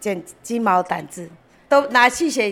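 A woman's fairly high, bright, sharp voice with lively intonation and a Taiwanese accent. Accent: Taiwanese-accented Mandarin. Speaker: craftsman's daughter. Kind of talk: interview.

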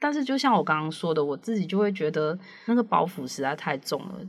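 A woman with a fairly low pitch talks at a fairly quick pace, her voice making very wide pitch swings. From Malaysia. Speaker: editor. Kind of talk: casual chat. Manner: halting.

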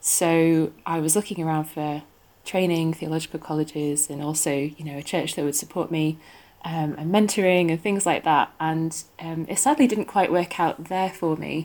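A woman with a northern English accent speaks at a moderate pace and a fairly low pitch, her intonation fairly even, in a very clean recording with a silent background. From northwest England. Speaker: theology student. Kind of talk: interview, casual chat.

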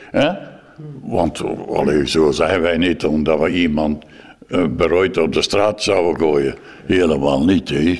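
A man's very deep, low voice at a very slow pace, with fairly even intonation, very even loudness, and long, frequent pauses. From West Flanders, Belgium. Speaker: former foster parent. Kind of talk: interview testimony.

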